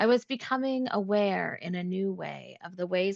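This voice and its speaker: A woman with a Canadian accent, in a dry, close sound with no echo. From Toronto, Canada. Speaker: professor. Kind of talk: reading aloud. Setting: video call.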